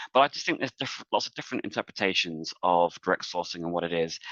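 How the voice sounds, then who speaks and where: With an English accent, a man is speaking. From England. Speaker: talent management executive. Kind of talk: webinar panel discussion. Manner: hesitant, many fillers.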